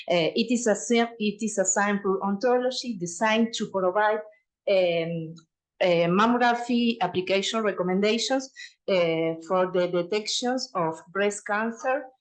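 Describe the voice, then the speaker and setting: A woman with a Uruguayan accent talks at a fairly slow pace. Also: medium pitch for a woman, ordinary pitch variation, very even loudness. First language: Spanish. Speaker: radiologist and researcher. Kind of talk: conference presentation. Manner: halting, many fillers and restarts.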